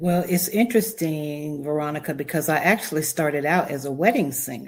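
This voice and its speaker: Woman with a North Carolina accent, very deep, low pitch, ordinary pitch variation and a fairly quick pace, on a very clean recording with a silent background. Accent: Southern US (North Carolina). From US South, Charlotte, North Carolina. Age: 60s. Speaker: wedding officiant and planner. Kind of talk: podcast interview.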